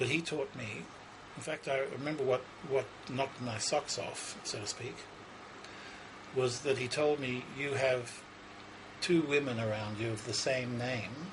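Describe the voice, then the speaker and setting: A man with an Australian accent speaks fairly slowly at a medium pitch, his intonation fairly even. Long, frequent pauses break up his speech amid noticeable background noise. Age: 60s. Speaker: psychic. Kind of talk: interview. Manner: halting.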